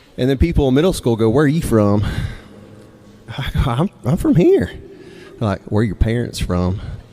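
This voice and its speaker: Noticeable background noise sits behind a man speaking with an American accent at a medium pitch. He talks at a moderate pace with lively intonation and long, frequent pauses. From Mississippi, US South. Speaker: storyteller and songwriter. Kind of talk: live storytelling. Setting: stage with audience. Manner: casual, conversational with hesitations.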